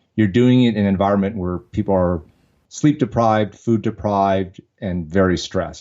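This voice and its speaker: Here is a man with an unremarkable speaking voice and an American accent. He talks fairly quickly at a fairly low pitch. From Vietnam, came to the US as a refugee child. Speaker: entrepreneur and army veteran. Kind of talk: podcast interview.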